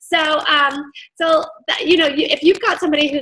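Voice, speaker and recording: Here a woman talks at a fairly quick pace. Her voice is raised and projected. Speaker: direct sales team leader. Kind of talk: training session. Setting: video call. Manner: enthusiastic.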